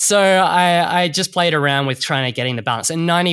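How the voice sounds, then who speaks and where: A bright, sharp tone with an Australian accent, ordinary pitch variation and a dry, close sound with no echo. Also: man. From Perth, Western Australia. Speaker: bartender and distillery owner. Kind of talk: casual interview.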